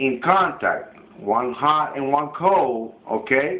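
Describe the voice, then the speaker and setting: A man with a non-native accent talks with ordinary pitch variation, and the recording carries audible room echo and noticeable background noise. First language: not English. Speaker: student. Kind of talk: classroom demonstration. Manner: halting.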